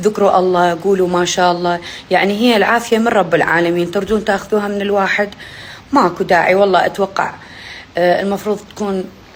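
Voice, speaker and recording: A woman speaks at a fairly quick pace with an animated tone and a medium pitch. Noticeable background noise runs under her voice. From Iraq. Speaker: poet and social media personality. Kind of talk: casual vlog chat to followers.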